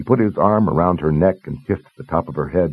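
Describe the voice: This man's pitch is extremely low, with ordinary variation and a slightly husky edge. He talks at a fairly quick pace.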